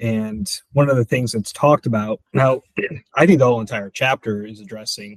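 At a moderate pace, a man with an American accent speaks in an ordinary speaking voice of medium pitch and ordinary pitch variation, the sound dry and close with no echo. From Michigan. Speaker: evangelist. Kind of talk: bible study discussion.

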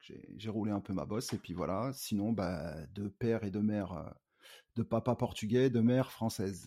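A man speaks at a fairly slow pace with a fairly low pitch and ordinary pitch variation. His tone is dark and mellow, and the recording is very clean with a silent background. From Paris suburbs, France (Cergy). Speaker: rapper. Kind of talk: casual interview. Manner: halting, many fillers.

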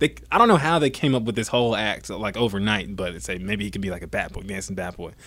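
Recorded very cleanly against a silent background, a man with an American accent talks very fast at a fairly low pitch with vocal fry. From US South, Georgia. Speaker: dancer and stadium performer. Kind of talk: interview. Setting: baseball stadium.

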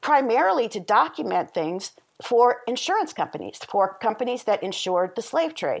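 In an American accent, a woman with a fairly high pitch and a plain, everyday voice talks at a moderate pace with lively intonation on a very clean recording with a silent background. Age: 50s. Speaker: historian and author. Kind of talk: interview.

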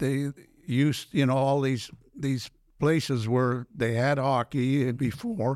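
A man talks at a very slow pace and medium pitch, his loudness staying very even. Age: 70s. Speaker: former pro hockey player and businessman. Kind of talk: casual interview storytelling. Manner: animated.

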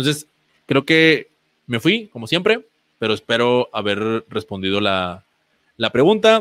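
The speech is fairly slow, broken by long, frequent pauses. It sounds dry and close, with no echo. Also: man, medium pitch for a man. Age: 30s. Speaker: physical education teacher. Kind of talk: online presentation. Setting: online event with screen sharing. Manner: halting, many repetitions and fillers.

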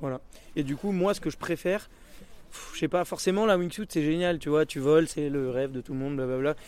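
Ordinary pitch variation from a normal speaking voice, moving at a fairly quick pace. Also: man, fairly high pitch for a man. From French Alps (Hautes-Alpes). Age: 20s. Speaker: BASE jumper and highline athlete. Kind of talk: casual interview and vlog commentary.

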